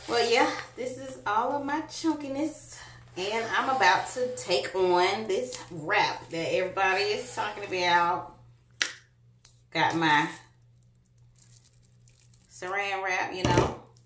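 A woman speaks slowly with long, frequent pauses. Her tone is fairly bright. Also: medium pitch for a woman, ordinary pitch variation.

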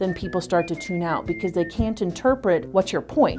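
Against clear music in the background, a woman speaks at fairly low pitch with ordinary pitch variation. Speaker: vocal coach. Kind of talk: interview answer. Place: office.

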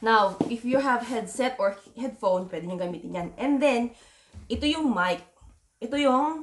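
A woman with lively intonation speaks at a fairly slow pace over light background noise. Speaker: gear reviewer. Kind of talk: tutorial. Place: home room.

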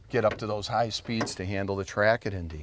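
Noticeable background noise surrounds a man's fairly low voice, which has ordinary pitch variation in a dry sound with no echo. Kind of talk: interview answer. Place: open country.

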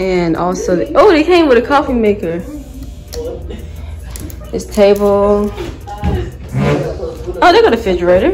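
A woman's moderate-paced speech is accompanied by clear music in the background. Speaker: vlogger. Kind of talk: casual vlog chat. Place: home room. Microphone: phone near.

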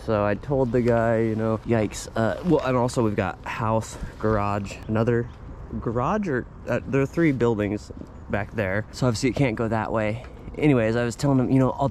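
Speaking at a fairly quick pace with fairly even intonation, a man comes through dry with no echo over light background noise. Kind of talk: casual vlog chat. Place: garden. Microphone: phone near.

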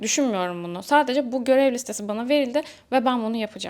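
Her voice fairly high, a woman talks at a very fast pace with ordinary pitch variation. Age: 20s. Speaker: self-improvement youtuber and social media coach. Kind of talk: motivational talk to camera.

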